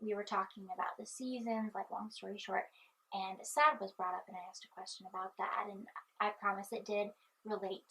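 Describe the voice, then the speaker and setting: Fairly quick and bright, sharp in tone, a woman speaks. Her intonation stays fairly even. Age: 20s. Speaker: vlogger; student. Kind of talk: casual chat. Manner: halting.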